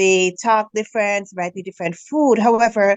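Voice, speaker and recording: At a fairly slow pace, a woman speaks with a Jamaican accent. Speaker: financial business mentor. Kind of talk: interview.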